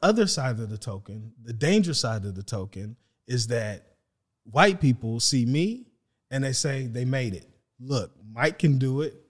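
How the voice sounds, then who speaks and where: A man with an American accent speaks at a moderate pace in a medium pitch, somewhat breathy, with lively intonation and big swings in loudness. The recording is very clean, with a silent background. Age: 40s. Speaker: real estate agent and podcast co-host. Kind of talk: casual discussion.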